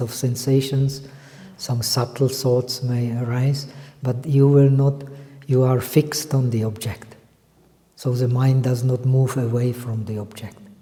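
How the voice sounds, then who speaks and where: Amid audible room echo, a man at medium pitch talks at a fairly slow pace in a monotone, flat intonation. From Czech Republic. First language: not English. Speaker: meditation teacher. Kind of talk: lecture. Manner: halting.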